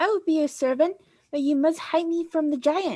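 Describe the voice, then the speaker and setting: In a squeaky, put-on character voice, a woman speaks at an extremely high pitch with ordinary pitch variation and a moderate pace. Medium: read story.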